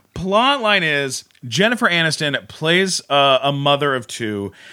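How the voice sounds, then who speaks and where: A man speaks at medium pitch in a bright, sharp tone with very wide pitch swings. The recording is very clean, with a silent background. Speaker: comedian and podcaster.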